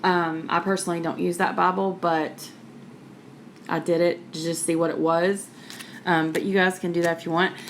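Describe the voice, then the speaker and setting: Moderate-paced speech from a woman with an American accent, over noticeable background noise. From West Virginia. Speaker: YouTuber. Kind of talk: show-and-tell tutorial. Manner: casual, chatty with many fillers.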